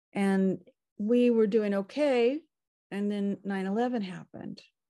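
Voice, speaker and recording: A woman with an American accent speaks at a very slow pace and a medium pitch against a quiet background. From California. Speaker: cookbook author and chef. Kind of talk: casual interview chat. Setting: video call.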